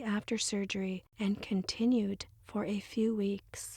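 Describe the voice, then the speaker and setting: Soft-spoken and somewhat breathy, a woman talks at a fairly slow pace and fairly high pitch in a monotone, flat intonation, the sound dry and close with no echo. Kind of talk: ASMR reading of instructions.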